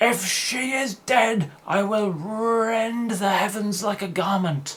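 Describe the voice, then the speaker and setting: A bellowing, put-on character voice, fairly high in pitch, at a fairly slow pace. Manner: bellowing, emotional.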